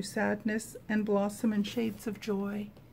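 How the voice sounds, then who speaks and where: A somewhat breathy voice comes through over light background noise. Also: woman. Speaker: prayer video creator. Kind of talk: fervent personal prayer after scripture reading. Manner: heartfelt, earnest, devotional. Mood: calm, gentle, devotional. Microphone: phone near.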